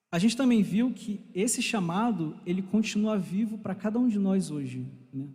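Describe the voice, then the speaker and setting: A man with a Rio de Janeiro accent speaks at a fairly slow pace in a dark, mellow tone, his lively intonation carrying over audible room echo. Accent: Rio de Janeiro (carioca). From Brazil, Rio de Janeiro. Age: 20s. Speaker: church teacher. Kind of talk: bible class lecture. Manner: warm, conversational.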